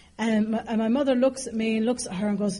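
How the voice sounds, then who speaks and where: In an Irish accent, a woman talks in an animated way at a fairly quick pace. Room echo is audible. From Ireland, raised partly in London. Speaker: AA speaker. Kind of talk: recovery talk to an audience. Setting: stage with audience. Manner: animated, humorous storytelling.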